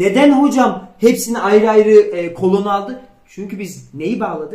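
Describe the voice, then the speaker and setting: High-pitched man at a fairly slow pace, with ordinary pitch variation and big swings in loudness. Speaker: programming instructor. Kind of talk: tutorial.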